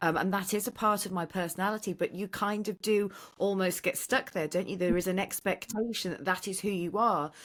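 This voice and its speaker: A woman with an ordinary speaking voice talks at a fairly quick pace and medium pitch. The recording is very clean, with a silent background. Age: 40s. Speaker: actor and poet. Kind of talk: casual chat. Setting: podcast.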